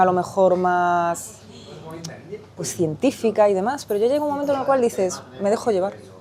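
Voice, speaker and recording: The intonation is lively and the pace fairly quick. There is noticeable noise in the background. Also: woman. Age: 40s. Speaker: recently baptized adult. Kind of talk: testimony.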